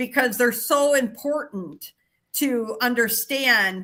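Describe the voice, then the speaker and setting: Her tone is bright and sharp. A woman talks fairly slowly. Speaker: Bible study leader. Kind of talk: Bible study discussion.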